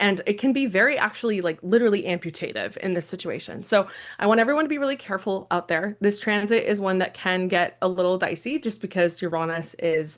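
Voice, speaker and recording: A woman races along at a very fast pace with hardly any pauses, her medium-pitched voice carrying lively intonation. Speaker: astrologer. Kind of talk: live stream astrology forecast. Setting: live stream. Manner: animated.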